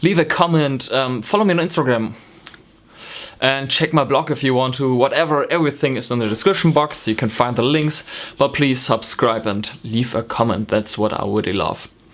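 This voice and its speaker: Over noticeable background noise, a man with a slight German accent talks at a moderate pace and medium pitch with ordinary pitch variation. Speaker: knitting vlogger. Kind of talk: casual vlog talk. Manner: hesitant, many ums.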